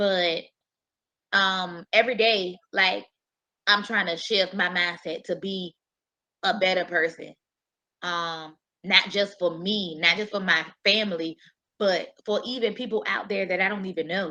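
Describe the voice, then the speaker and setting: A woman speaks loudly and fairly slowly, with long, frequent pauses. Her medium-pitched voice has a bright, sharp tone and fairly even intonation. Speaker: panelist. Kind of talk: panel discussion.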